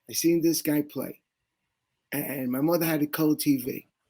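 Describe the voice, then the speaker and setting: A man's fairly high voice with a New York accent at a moderate pace and fairly even intonation. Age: 60s. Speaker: sports fan guest. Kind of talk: interview storytelling.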